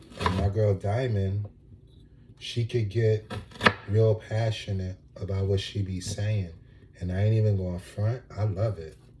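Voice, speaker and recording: A soft-spoken man talks fairly low and fairly slowly, his intonation monotone and flat. He leaves long, frequent pauses amid noticeable background noise. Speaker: vlogger. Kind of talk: casual monologue. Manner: laid back.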